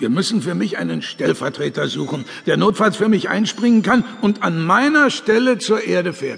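Putting on a character voice, a man speaks at a moderate pace with a high pitch, lively intonation, vocal fry and a fairly bright tone over faint background noise.

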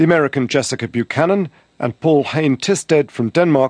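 In a British accent, the voice shows ordinary pitch variation against a quiet background, with a dry, close sound and no echo. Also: man. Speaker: security correspondent. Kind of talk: news report.

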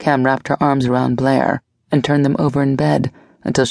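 A natural reading voice is heard, with only a quiet background.

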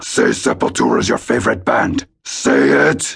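A man's put-on character voice, very deep and low, raspy and growling, at a moderate pace. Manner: demanding, intense.

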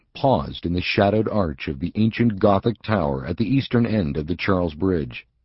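Lively intonation marks this plain reading aloud.

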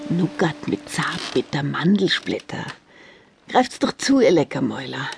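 Music plays in the background. The speech is very slow. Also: woman.

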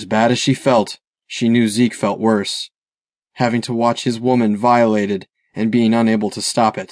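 The voice is a natural reading voice, heard over a quiet background.

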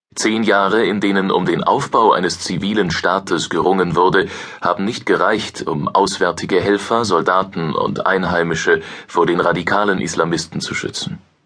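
A man's serious tone at a moderate pace amid noticeable background noise. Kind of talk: newspaper article read aloud, audiobook-style news narration. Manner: formal, measured, serious.

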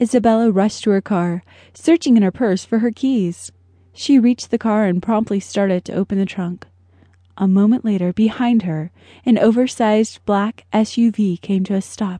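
A woman's fairly high, somewhat breathy voice with a dark, mellow tone and ordinary pitch variation, over a quiet background. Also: moderate pace. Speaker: audiobook narrator. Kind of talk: dramatic audiobook narration of a thriller. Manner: suspenseful, tense, measured pacing building to panic.

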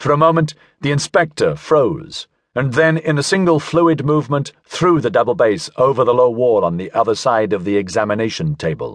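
A man talks at a moderate pace in a fairly high pitch, with lively intonation. His tone is dramatic. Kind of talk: audiobook narration of a sci-fi novel, read aloud. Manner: measured, dramatic storyteller pacing, shifting tone for each character.

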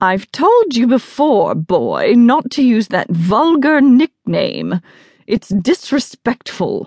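In a put-on character voice, a woman speaks slowly at a fairly high pitch with very wide pitch swings and a slightly mellow tone, the sound dry and close with no echo on a very clean recording with a silent background.

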